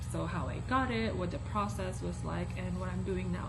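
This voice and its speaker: Audible room echo and noticeable background noise around a woman's very deep, low voice at a moderate pace. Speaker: student vlogger. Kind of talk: casual vlog talk. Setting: lab, then upstairs room with other people. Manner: whispering.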